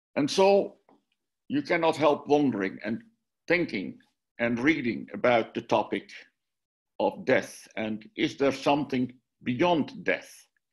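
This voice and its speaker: With a Dutch accent, a man speaks at a fairly slow pace with a fairly high pitch, very wide pitch swings and long, frequent pauses, over a quiet background. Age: 70s. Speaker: minister and author. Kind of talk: lecture. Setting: video call.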